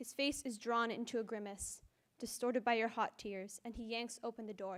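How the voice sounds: In a natural reading voice, the intonation remains fairly even.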